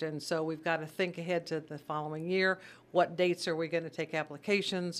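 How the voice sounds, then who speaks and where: A woman with an American accent has a normal speaking voice with a fairly low pitch and fairly even intonation. The recording is very clean, with a silent background. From Missouri (Sedalia). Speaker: charity volunteer chairperson, former teacher. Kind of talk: radio interview. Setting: radio studio.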